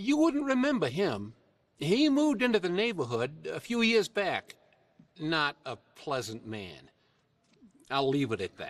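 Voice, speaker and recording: A put-on character voice, drawling at a fairly slow pace with long, frequent pauses. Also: man, high pitch for a man. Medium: video game. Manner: folksy, drawling.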